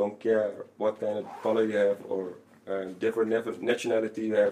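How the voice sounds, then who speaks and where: This man speaks with a Dutch accent at a moderate pace. His pitch is medium and his intonation monotone and flat. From Netherlands. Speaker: former footballer. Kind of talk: casual interview.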